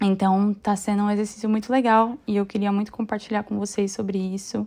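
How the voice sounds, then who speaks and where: A woman's medium-pitched voice at a fairly quick pace, flat and monotone in intonation. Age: 30s. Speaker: podcast host and dance class owner. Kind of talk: casual solo monologue.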